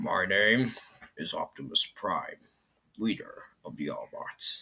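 The pace is fairly slow. A man speaks in a put-on character voice. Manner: heroic, celebrity-style voice impression.

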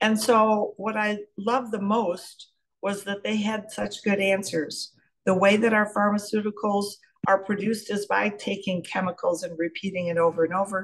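Somewhat breathy, a woman talks at a moderate pace with monotone, flat intonation against a quiet background. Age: 70s. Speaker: pharmacist. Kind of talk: testimony. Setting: video call. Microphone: video call.

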